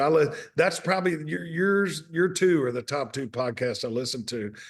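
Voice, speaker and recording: Lively intonation runs through this man's speech. He talks with a Mississippi accent. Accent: Southern US (Mississippi). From US South, Mississippi. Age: 60s. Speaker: restaurant owner and author. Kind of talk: casual interview chat.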